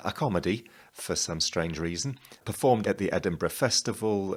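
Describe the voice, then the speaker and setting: A man with a British accent, fairly low in pitch, lively intonation and a moderate pace, on a very clean recording with a silent background. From England. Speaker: playwright and performer. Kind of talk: promotional presentation.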